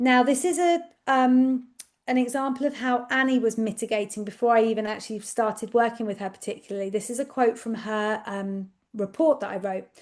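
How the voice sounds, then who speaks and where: Over a quiet background, a woman with an English accent speaks at a fairly high pitch with ordinary pitch variation. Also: fairly quick pace. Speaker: speech and language therapist. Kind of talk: webinar presentation. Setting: online webinar. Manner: loud.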